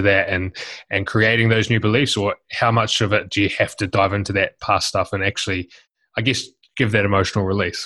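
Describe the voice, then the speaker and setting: A man with a New Zealand accent speaks in a fairly low pitch at a moderate pace. His intonation is monotone and flat, over a quiet background. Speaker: podcast host. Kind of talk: interview; scripted outro.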